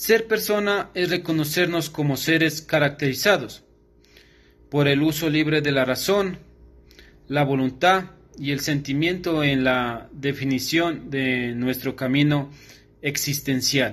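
Speaking at a very slow pace, a man uses a fairly high pitch with ordinary pitch variation. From Ecuador, Carchi province (Tulcán); Carchi province, Ecuador. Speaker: law student; student or commentator. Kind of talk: recorded class assignment. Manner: formal. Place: home room. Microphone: phone near.

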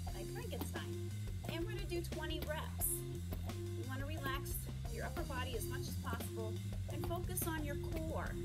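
Loud music plays in the background as a woman speaks at a moderate pace. She leaves long, frequent pauses. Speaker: fitness instructor. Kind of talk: tutorial. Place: garden. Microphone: camera far.

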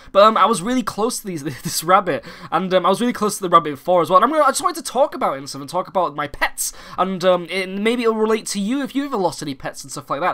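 In a British accent, a man speaks very fast in a raised, projected voice, his high pitch swinging very widely. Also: big swings in loudness. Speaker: gaming YouTuber. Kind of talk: casual vlog update. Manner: halting, many fillers; animated.

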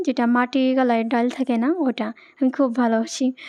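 At a moderate pace, a woman speaks with a dark, mellow tone and a fairly high pitch that has little movement.

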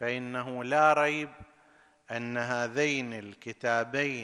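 A man with a bright, sharp tone at a very slow pace, against a quiet background. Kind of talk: sermon. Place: studio. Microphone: studio mic.

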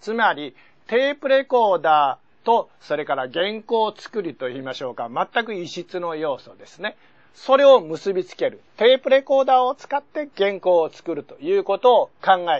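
Against a quiet background, a man speaks with very wide swings in pitch. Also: moderate pace. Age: 70s. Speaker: science magazine editor; seminar lecturer. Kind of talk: lecture. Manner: formal. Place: studio. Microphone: lapel.

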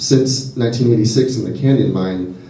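A man talks with an American accent and ordinary pitch variation. Audible room echo surrounds his voice. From Southern California. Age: 20s. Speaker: graduate student activist. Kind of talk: public speech at a rally. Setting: public event with audience. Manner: halting, many fillers and repetitions. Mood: earnest, concerned. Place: hall.

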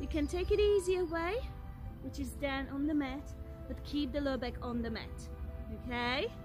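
A woman keeps a moderate pace while clear music plays behind her. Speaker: fitness instructor. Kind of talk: workout instruction. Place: open country.

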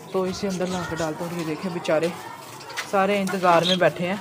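A man keeps a moderate pace while noticeable background noise carries on around him. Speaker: bird keeper vlogger. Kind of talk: casual vlog chat. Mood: apologetic, a bit rushed. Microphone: phone near.

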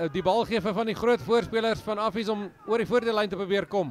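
A man talks at a fairly quick pace in a high voice. Noticeable background noise can be heard. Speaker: rugby match commentator. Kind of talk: live sports commentary. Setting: stadium, broadcast of a school rugby match.

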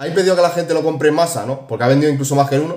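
Somewhat breathy, a man talks in a Spanish accent with audible room echo. The background is quiet. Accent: Peninsular Spanish. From Spain. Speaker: gaming YouTuber. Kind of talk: casual video commentary. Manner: animated. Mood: opinionated, mildly exasperated. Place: home room. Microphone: phone near.

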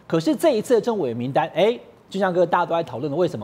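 The pitch of a man's voice swings very widely as he talks. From Taiwan. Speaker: political commentator. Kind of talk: TV political talk show panel. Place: studio. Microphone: lapel.

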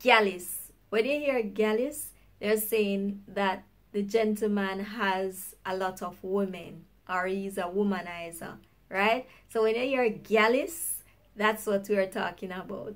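A woman with a Jamaican accent speaks very slowly in an upbeat tone. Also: ordinary pitch variation. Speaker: YouTuber. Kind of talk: casual talk to camera; language lesson.

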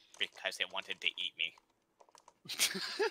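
The speaker is a man using a put-on character voice. His delivery is very slow. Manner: grumpy, defensive.

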